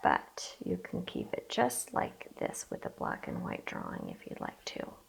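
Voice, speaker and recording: A woman talks fairly slowly, and background noise is noticeable the whole time. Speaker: art teacher. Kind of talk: tutorial.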